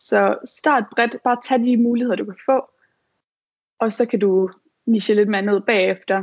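Against a quiet background, a woman speaks at a fairly slow pace in a fairly high voice, with fairly even intonation and long, frequent pauses. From Denmark, Aarhus. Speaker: virtual assistant. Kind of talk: advice talk.

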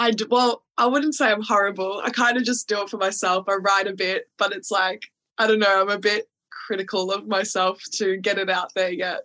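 A bright, sharp tone with fairly even intonation comes through in an Australian accent. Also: woman, medium pitch for a woman, moderate pace. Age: 20s. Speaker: podcast host. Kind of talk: casual chat.

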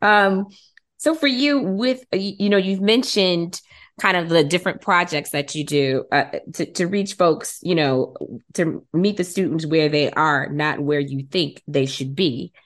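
A woman uses a plain, everyday voice with an American accent and a fairly low pitch. She talks at a fairly slow pace with lively intonation over a quiet background. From Detroit, Michigan. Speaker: podcast host and genealogist. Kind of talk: casual interview.

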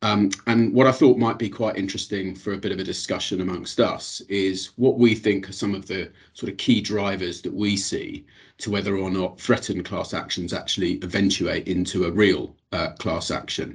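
In a British accent and with hardly any pauses, a man talks at a moderate pace in a fairly low, somewhat breathy voice with fairly even intonation against a quiet background. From England. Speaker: class actions lawyer. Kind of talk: professional panel discussion.

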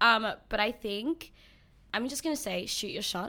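In a very clean recording with a silent background, a woman with an Australian accent speaks at a fairly slow pace, her fairly high voice bright and sharp with lively intonation. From born in New Zealand, Filipino heritage. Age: 20s. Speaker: nail technician. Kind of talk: casual interview. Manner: talks through a smile; bubbly, energetic.

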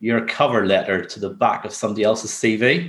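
A man with a Northern Irish accent, medium pitch and a fairly quick pace, over a quiet background. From Northern Ireland. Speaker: construction business development director. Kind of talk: interview.

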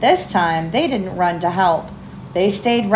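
Ordinary pitch variation in a natural voice reading aloud.

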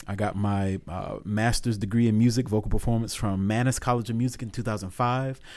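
With an American accent, a man speaks at a fairly quick pace and medium pitch. His intonation is fairly even, with hardly any pauses. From Augusta, Georgia (US South). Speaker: opera singer and music professor. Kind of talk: casual interview. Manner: halting, many fillers.

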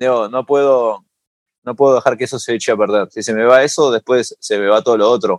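Talking at a fairly quick pace, a man uses a plain, everyday voice at a medium pitch with fairly even intonation. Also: dry, close sound with no echo. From Uruguay (Montevideo), moved to New York as a teen. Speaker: singer-songwriter and musician. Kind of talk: interview conversation.

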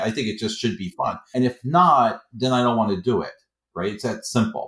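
Talking at a fairly quick pace, a man with an American accent uses lively intonation at a medium pitch. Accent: New York accent, people mistake for Boston. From Queens, New York. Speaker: professor and author. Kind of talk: casual interview conversation.

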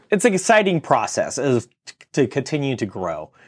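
A man with an American accent talks at a moderate pace, his pitch swinging very widely. Vocal fry creeps into his voice. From California. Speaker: construction business owner. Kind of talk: interview. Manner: halting, with fillers.

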